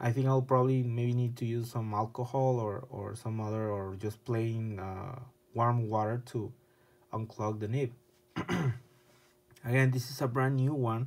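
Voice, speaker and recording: Using monotone, flat intonation, a man speaks at a moderate pace with long, frequent pauses. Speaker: pen reviewer. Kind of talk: product review. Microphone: phone near.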